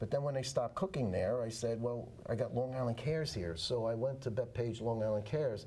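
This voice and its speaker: A man with a New York accent, medium pitch, dark, mellow tone, somewhat breathy delivery, very even loudness, ordinary pitch variation and a fairly quick pace, in audible room echo. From New York City (Manhattan). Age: 70s. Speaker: veteran. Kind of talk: interview. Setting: studio.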